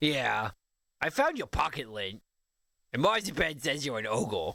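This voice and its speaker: A man speaks at a moderate pace in a put-on character voice pitched fairly high. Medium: video game. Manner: dopey, oblivious.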